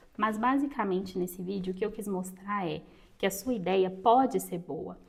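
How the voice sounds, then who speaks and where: A woman's moderate-paced speech, with ordinary pitch variation, is heard over noticeable background noise. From Brazil, interior of Minas Gerais. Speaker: writing and reading content creator. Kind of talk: tutorial.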